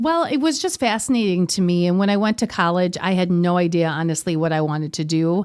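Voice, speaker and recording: On a very clean recording with a silent background, a woman with an Upper Midwest accent talks very fast at a fairly low pitch, with ordinary pitch variation and very even loudness. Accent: Upper Midwest American. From Wisconsin, US (Kenosha). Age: 40s. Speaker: yoga studio owner. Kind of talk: interview.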